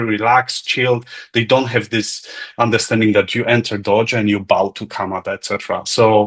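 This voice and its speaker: This man has a Polish accent and a medium pitch. He talks at a fairly quick pace. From Poland. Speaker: lecture participant. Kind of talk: casual chat.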